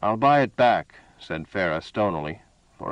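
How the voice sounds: The clip features a natural reading voice. It is a natural reading voice throughout.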